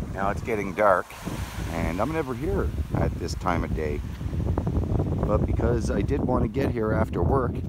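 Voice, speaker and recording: Long, frequent pauses over loud background noise. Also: dry sound with no echo. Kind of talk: casual talk to camera while beachcombing. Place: beach. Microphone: phone near.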